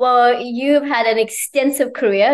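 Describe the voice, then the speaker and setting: With fairly even intonation and a moderate pace, the woman talks in an unremarkable speaking voice. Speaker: interviewer. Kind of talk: casual interview. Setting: in New York.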